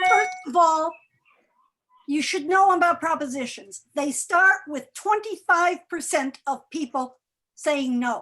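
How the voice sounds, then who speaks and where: A woman's raised, projected voice, extremely high and bright, sharp in tone, at a very slow pace with ordinary pitch variation. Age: 70s. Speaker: retiree advocate and activist. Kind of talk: panel Q&A on election.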